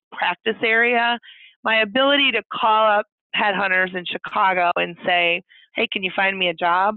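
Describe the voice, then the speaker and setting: A woman with a normal speaking voice, medium-pitched, at a moderate pace with ordinary pitch variation. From Indiana. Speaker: lawyer. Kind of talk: interview.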